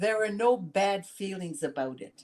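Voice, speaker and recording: A woman of medium pitch talks at a fairly slow pace with lively intonation. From Canada, Sudbury, Ontario. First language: French. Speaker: senator. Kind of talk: interview. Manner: halting.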